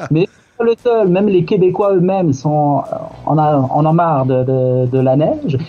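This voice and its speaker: There is noticeable background noise as a man speaks at a moderate pace. His voice is fairly high, with ordinary pitch variation. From southern France, Marseille. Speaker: YouTuber, expatriate. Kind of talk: radio interview.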